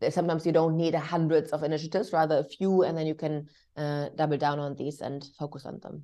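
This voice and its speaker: Over a quiet background, a woman with a German accent talks at a very fast pace in a very deep, low pitch, with a dark, mellow tone, monotone, flat intonation and big swings in loudness. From Germany. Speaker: diversity and inclusion executive. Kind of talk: interview. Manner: hesitant, many fillers.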